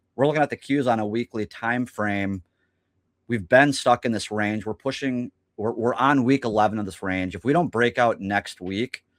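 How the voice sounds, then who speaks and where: In a very clean recording with a silent background and a dry, close sound with no echo, a man speaks in a normal speaking voice at medium pitch, moderate pace and ordinary pitch variation. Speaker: stock market technical analyst. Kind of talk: casual market discussion.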